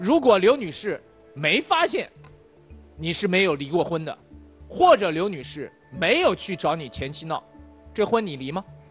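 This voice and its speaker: With faint music in the background, a man speaks with long, frequent pauses and big swings in loudness. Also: moderate pace. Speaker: show mediator or host. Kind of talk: interview questioning. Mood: probing, mildly challenging. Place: studio. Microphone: lapel.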